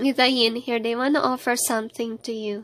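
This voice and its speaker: With music in the background, a woman speaks at a high pitch, a moderate pace and fairly even intonation. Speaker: tarot card reader. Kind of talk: tarot reading monologue.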